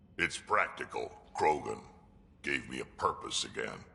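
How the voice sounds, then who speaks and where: Putting on a character voice, the man speaks with an extremely high pitch and a moderate pace. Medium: video game. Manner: gruff, blunt.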